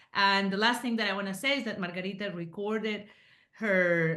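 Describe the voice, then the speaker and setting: A woman with a Spanish accent talks at a moderate pace in a bright, sharp tone. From Colombia, Medellín (Paisa). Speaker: book author and Spanish teacher. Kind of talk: casual interview chat.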